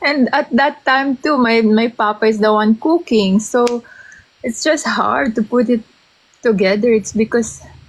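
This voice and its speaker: A woman with a Filipino accent, fairly high in pitch, with ordinary pitch variation, very even loudness and a fairly slow pace. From Philippines. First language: Tagalog. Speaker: interviewee sharing personal story. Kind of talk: interview. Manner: halting, code-switching.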